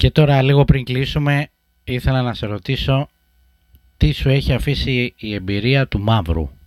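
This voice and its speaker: Dry and close with no echo, a man talks at a fairly slow pace and medium pitch. His is a plain, everyday voice with ordinary pitch variation. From Greece, Sparta and Corfu. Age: 30s. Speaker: podcast host. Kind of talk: interview conversation.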